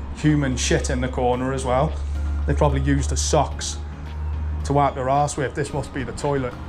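At a fairly quick pace, the voice speaks over clear music in the background. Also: man. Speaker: urban explorer vlogger. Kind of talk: casual vlog chat. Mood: jokey, mildly disgusted. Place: street. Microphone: phone near.

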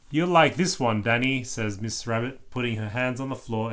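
Reading aloud is plain here, and the pitch varies in an ordinary way.

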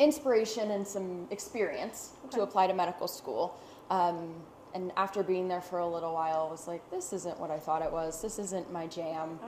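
A woman at a fairly quick pace with ordinary pitch variation, amid light background noise and audible room echo. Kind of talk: interview answer. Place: workshop.

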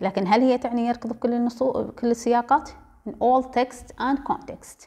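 Her voice is high-pitched with a dark, mellow tone. The woman keeps a moderate pace. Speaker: translation lecturer. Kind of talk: lecture.

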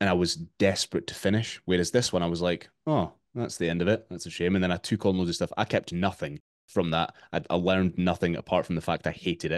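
A man with a Scottish accent speaks at a very fast pace, his pitch very deep and low and his intonation fairly even. The sound is dry with no echo, over a quiet background. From Scotland. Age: 30s. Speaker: fitness coach. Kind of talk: interview. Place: home room.

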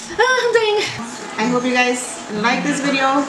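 Clear music plays behind the voice. The woman talks at a moderate pace. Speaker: food challenge vlogger. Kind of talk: casual vlog chat. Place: home room. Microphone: camera far.

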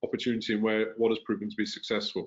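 A man speaks with a London accent. The background is quiet. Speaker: tech company founder and CEO; podcast host. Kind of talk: interview. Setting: video call. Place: home room. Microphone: video call.

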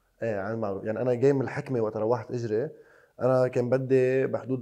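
Dark, mellow male voice at medium pitch, fairly quick pace, quiet background. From Lebanon. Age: 20s. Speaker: basketball player; guest. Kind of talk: casual interview. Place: studio. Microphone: lapel.

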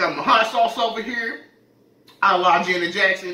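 A man speaks in a raised, projected voice with ordinary pitch variation. Room echo can be heard. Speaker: mukbang vlogger. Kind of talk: casual vlog chat. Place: kitchen.

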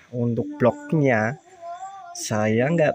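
Speech comes at a very slow pace in a dry sound with no echo, with light background noise. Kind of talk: tutorial commentary. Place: workshop. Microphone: phone near.

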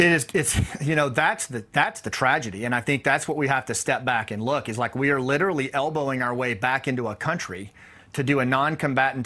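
A man's bright, sharp voice at a fairly quick pace, with ordinary pitch variation. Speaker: retired army officer and war expert. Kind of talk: news interview. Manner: halting, repeats words. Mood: serious, disappointed. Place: home room. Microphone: lapel.

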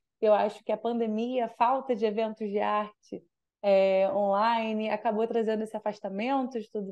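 Against a quiet background, a woman with a fairly high pitch and a dark, mellow tone talks at a moderate pace in a monotone, flat intonation. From Brazil, Rio de Janeiro. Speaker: youth event organizer; radio guest. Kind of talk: casual radio interview. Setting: radio studio. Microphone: video call.

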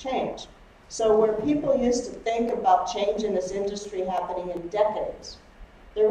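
In a room with audible echo and light background noise, a woman talks at a moderate pace with ordinary pitch variation. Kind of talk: lecture. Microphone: camera far.

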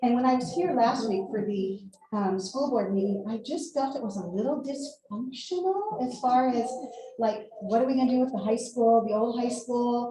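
At a moderate pace, a woman with an American accent speaks at a high pitch, with audible room echo and noticeable background noise. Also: ordinary pitch variation. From California. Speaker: retired teacher and coach speaking at public comment. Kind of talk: public comment at school board meeting. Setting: school board meeting room. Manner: halting.

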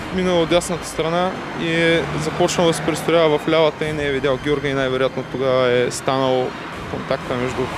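A man speaks at a moderate pace with a dry sound with no echo. Loud background noise runs underneath. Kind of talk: interview answer. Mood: grieving, shaken. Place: street.

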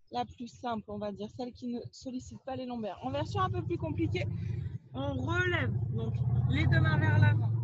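Loud background noise surrounds a woman speaking at a moderate pace in a dry sound with no echo. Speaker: fitness instructor. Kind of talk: exercise tutorial. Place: open country.

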